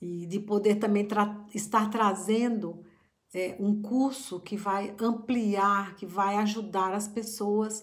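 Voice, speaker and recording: Amid audible room echo, a woman speaks at a very slow pace and medium pitch with monotone, flat intonation. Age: middle-aged. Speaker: psychologist and family constellation therapist. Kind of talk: reflective talk to camera. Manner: halting.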